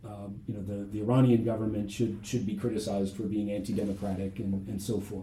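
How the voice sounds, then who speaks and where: A man with an American accent speaks at a very fast pace with hardly any pauses, his pitch fairly low and his intonation monotone and flat. His voice is somewhat breathy, with audible room echo. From US Midwest, Ohio. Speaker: history professor. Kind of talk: interview. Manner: halting, many fillers and repetitions.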